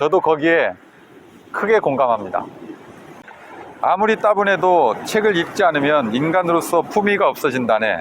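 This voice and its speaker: With long, frequent pauses and very even loudness, a man with a high pitch speaks over noticeable background noise. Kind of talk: guided reading meditation, book reading while walking by the sea. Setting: outdoors by the sea with waves. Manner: calm, slow, reflective.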